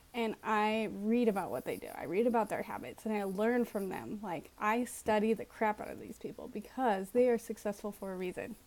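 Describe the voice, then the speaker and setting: With hardly any pauses, a woman with an unremarkable speaking voice and a fairly high pitch shows big swings in loudness in a very clean recording with a silent background. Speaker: vlogger and life coach. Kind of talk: casual vlog talk to camera. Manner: casual, many fillers.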